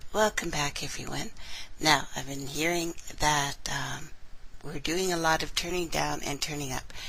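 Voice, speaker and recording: A soft-spoken woman with a very deep, low pitch, fairly even intonation and a moderate pace, over noticeable background noise. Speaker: online radio host. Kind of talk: casual live-stream chat. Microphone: too quiet, listeners had to turn her up.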